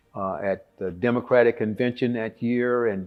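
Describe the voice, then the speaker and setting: A man with a Texan accent, medium pitch, fairly even intonation and a moderate pace. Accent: Texan Southern US. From Texas (Conroe). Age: 70s. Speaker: war veteran. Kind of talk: interview testimony. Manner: halting with frequent fillers.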